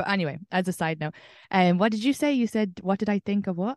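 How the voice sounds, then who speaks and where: Speaking at a very fast pace with an Irish accent, a woman shows ordinary pitch variation in a dry, close sound with no echo against a quiet background. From Ireland. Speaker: comedian. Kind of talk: interview.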